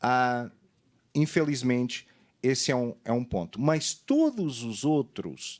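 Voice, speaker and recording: Fairly slow speech with a Portuguese accent on a very clean recording with a silent background. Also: man. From Portugal. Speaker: fraud study consultant on a seminar panel. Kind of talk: panel presentation. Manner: halting, many fillers.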